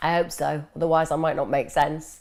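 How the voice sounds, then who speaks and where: A woman with an English accent speaks at a fairly quick pace in a fairly low pitch. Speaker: mental health expert answering viewer questions. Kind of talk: live Q&A stream. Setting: live stream.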